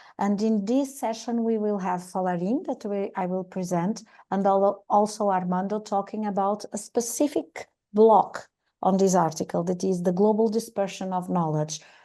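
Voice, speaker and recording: Over a quiet background, a woman of medium pitch speaks at a moderate pace with a dark, mellow tone and ordinary pitch variation. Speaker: session moderator. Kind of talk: moderating online meeting.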